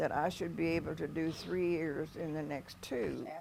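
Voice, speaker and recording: A woman with a Midwestern American accent talks at a fairly slow pace and a fairly low pitch. Noticeable background noise runs underneath. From US Midwest, northeast Missouri. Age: 90s. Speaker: retired nurse. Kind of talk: interview. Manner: hesitant, with fillers and repeats.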